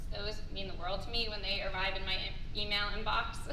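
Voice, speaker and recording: A woman's fairly quick speech comes through with noticeable noise in the background. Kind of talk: conference speech. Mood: grateful, sincere. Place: hall. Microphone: camera far.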